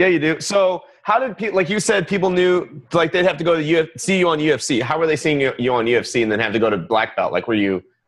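Over a quiet background, a man speaks in a fairly high pitch at a fairly quick pace, with very wide pitch swings, very even loudness and an excited, energetic tone. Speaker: podcast host. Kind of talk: casual interview. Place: studio.

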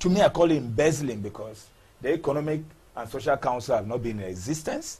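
Speaking at a very fast pace, a man uses lively intonation and a dark, mellow tone that is somewhat breathy. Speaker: member of parliament. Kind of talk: TV interview.

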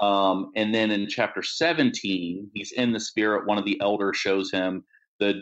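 The speaker has an ordinary speaking voice and an American accent. The delivery is fairly slow, with fairly even intonation. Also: man. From Maryland, US. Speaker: Bible scholar and pastor. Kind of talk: interview about scripture. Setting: remote call with poor internet.

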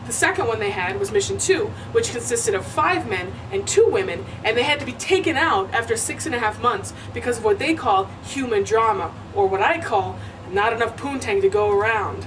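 Noticeable background noise sits behind the voice. A woman talks at a fairly quick pace. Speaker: comic tour host. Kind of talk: comedic mock-documentary monologue. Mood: sarcastic, playful. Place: hall.

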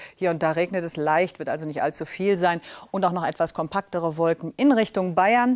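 Recorded dry with no echo, a woman speaks at a fairly quick pace and fairly low pitch with ordinary pitch variation. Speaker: TV weather presenter. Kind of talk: TV weather forecast. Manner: elegant, charming. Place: studio. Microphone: lapel.

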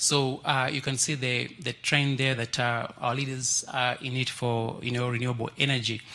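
In a Kenyan accent, a man speaks at a moderate pace and medium pitch. His intonation stays monotone and flat. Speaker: trade and development researcher; speaker. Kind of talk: panel presentation. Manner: halting, many fillers like you know. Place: hall. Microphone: handheld.

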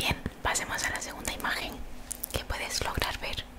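Here a woman whispers. She keeps to a moderate pace. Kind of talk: ASMR role-play. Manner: soft, close-mic ASMR voice. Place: home room. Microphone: studio mic.

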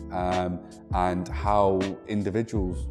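Clear music plays in the background as a man speaks with a very deep, low pitch. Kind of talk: interview answer. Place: office. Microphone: lapel.

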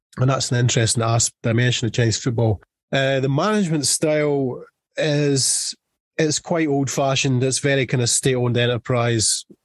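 A man with a strong Scottish accent speaks at a moderate pace and medium pitch, somewhat breathy, with ordinary pitch variation. His loudness stays very even, and the sound is dry and close with no echo against a quiet background. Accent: thick Scottish. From Scotland. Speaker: football journalist. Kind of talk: podcast interview answer.

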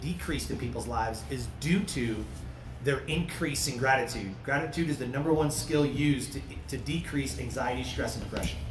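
Noticeable background noise runs under a man speaking at a fairly quick pace. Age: 30s. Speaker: retired military drill instructor and radio host. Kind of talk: panel discussion. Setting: live event panel with microphones. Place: tent.

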